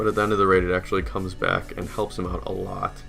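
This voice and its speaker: Over music in the background, a man speaks with a fairly low pitch. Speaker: gaming commentator, Clash of Clans war recap. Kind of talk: casual talk to camera.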